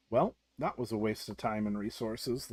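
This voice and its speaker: Using a put-on character voice, a man speaks at medium pitch and a moderate pace on a very clean recording with a silent background. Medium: read story.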